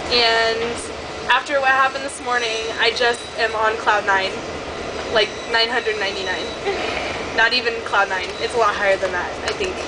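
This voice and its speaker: With noticeable noise behind her, a woman talks at a moderate pace, leaving long, frequent pauses. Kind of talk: casual vlog chat. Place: train. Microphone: phone near.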